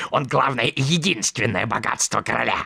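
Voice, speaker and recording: Doing a cartoonish character voice at a medium pitch, a man speaks at a fairly quick pace, with a dry, close sound, no echo and light background noise. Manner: boastful, ingratiating.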